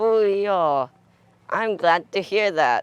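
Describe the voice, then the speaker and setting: A man's put-on character voice, high-pitched and shrill, with ordinary pitch variation and a dry, close sound free of echo. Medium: read story.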